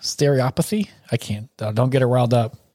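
A man with a Southern US accent, a dark, mellow tone and medium pitch, in a dry, close sound with no echo. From US South.

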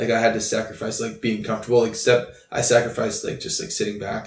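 A man rattles off his words very rapidly while clear background noise carries on. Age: 20s. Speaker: youth pastor. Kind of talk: casual chat.

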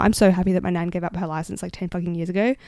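Very fast speech in a dark, mellow tone with an Australian accent, on a very clean recording with a silent background. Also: woman. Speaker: podcast host. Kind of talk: casual solo rant. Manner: loud; animated.

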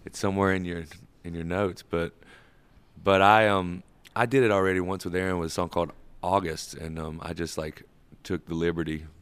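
This man has a very deep, low pitch and a Southern US accent, speaking at a fairly quick pace with fairly even intonation and long, frequent pauses. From US South, rural Georgia (Sandersville). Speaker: musician, band member. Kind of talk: casual interview chat.

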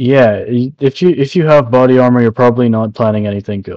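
An ordinary speaking voice at a fairly quick pace, with ordinary pitch variation. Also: man. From immigrant to Canada from a developing country. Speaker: podcast co-host. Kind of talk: casual chat.

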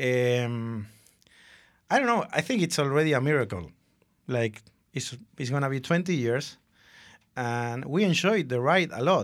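A man talks with lively intonation and long, frequent pauses on a very clean recording with a silent background. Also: medium pitch for a man, fairly slow pace. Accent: Spanish. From Argentina. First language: Spanish. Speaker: advertising creative director. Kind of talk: casual interview.

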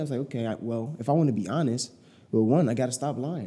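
A man's dark, mellow tone. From Chicago, US. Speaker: digital marketing entrepreneur. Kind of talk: casual interview conversation.

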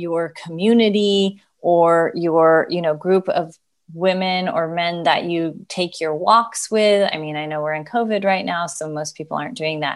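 In a quiet background, a woman with an unremarkable speaking voice and fairly low pitch speaks at a fairly slow pace, with fairly even intonation and hardly any pauses. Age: 40s. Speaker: gerontologist and Pilates instructor. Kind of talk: interview.

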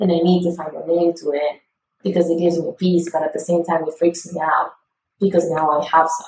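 A woman speaks at a fairly quick pace in a fairly low, somewhat breathy voice. Her intonation is flat and monotone, though her loudness swings widely. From Italy. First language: Italian. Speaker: podcast guest. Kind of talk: casual chat.

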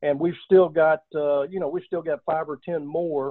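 A man with a Texan accent speaks in a fairly high pitch. His pace is moderate and his intonation fairly even. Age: 60s. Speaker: oil and gas business founder, army veteran. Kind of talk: interview.

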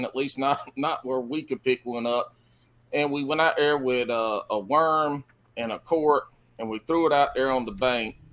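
Here a man speaks at a fairly high pitch and a moderate pace with ordinary pitch variation. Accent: Carolina Southern. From South Carolina. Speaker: fishing podcast co-host. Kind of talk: casual chat.

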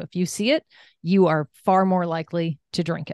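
A woman with an American accent has an unremarkable speaking voice at a medium pitch and a fairly quick pace. The sound is dry and close with no echo over a quiet background. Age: 50s. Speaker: wellness coach and entrepreneur. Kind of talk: interview.

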